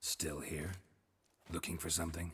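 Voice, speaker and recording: In a put-on character voice, a man speaks at a moderate pace with a very deep, low pitch. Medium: video game. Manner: dry, laconic, deadpan.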